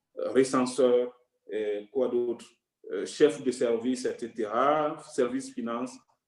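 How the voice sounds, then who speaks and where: At a very slow pace, a man talks with a medium pitch. His intonation stays fairly even. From Togo. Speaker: UN staff member sharing career advice. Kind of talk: online workshop talk.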